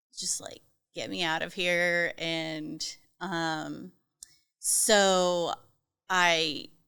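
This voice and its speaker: A woman with a fairly low pitch and a bright, sharp tone speaks very slowly, with fairly even intonation and long, frequent pauses. The recording is very clean, with a silent background. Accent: slight Southern US. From US South, North Carolina. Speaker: trauma survivor sharing her story. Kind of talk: testimony in podcast interview. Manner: hesitant, many fillers.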